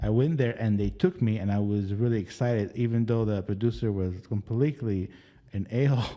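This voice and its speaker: Speaking at a fairly quick pace, a man with an Arabic accent has a dark, mellow tone. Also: fairly low pitch for a man, ordinary pitch variation. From Lebanon. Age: 40s. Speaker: casting director. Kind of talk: interview. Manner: halting.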